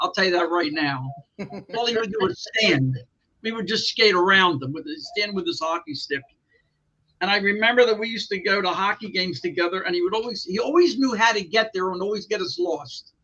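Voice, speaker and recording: In a raised, projected voice, a man with a high pitch speaks at a fairly quick pace with lively intonation. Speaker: wrestling ring announcer. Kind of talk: interview answer, anecdote.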